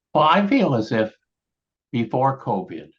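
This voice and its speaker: A man speaks at a fairly slow pace with vocal fry. His pitch swings very widely. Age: 70s. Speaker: education professor and co-host. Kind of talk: panel discussion.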